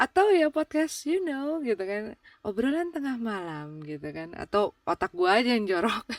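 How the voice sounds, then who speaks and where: With a dry, close sound and no echo, a woman speaks at a moderate pace with hardly any pauses, a fairly high pitch and very wide pitch swings. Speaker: podcast host. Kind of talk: casual chat. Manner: halting, many fillers; relaxed, informal.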